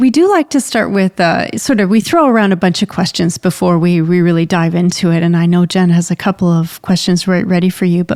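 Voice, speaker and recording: A woman with a Canadian accent speaks at a moderate pace in a medium pitch, using an ordinary speaking voice. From Canada, rural Ontario. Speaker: podcast co-host and resilience researcher. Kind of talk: interview conversation.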